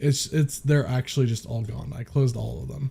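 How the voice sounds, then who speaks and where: Somewhat breathy and dark, mellow in tone, a man's medium-pitched voice keeps a fairly even intonation. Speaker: streamer. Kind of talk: casual chat.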